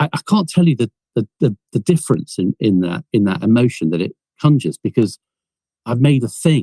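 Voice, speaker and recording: With an English accent, a man talks at a fairly quick pace in a medium pitch, his tone dark, mellow and somewhat breathy. His pitch swings very widely, and the sound is dry and close with no echo. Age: 60s. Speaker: film producer and inventor. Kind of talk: podcast interview.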